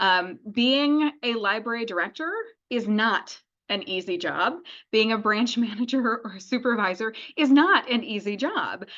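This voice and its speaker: Lively intonation marks this woman's fairly high, bright, sharp voice as she talks at a fairly slow pace. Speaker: library director. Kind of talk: webinar presentation. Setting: video call. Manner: animated.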